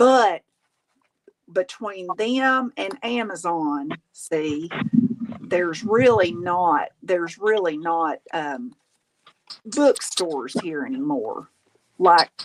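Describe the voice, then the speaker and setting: A woman's medium-pitched voice at a very slow pace with lively intonation, in a dry, close sound with no echo. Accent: Southern US. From Tennessee. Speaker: crafter and live streamer. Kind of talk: casual chat. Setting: live stream. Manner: animated.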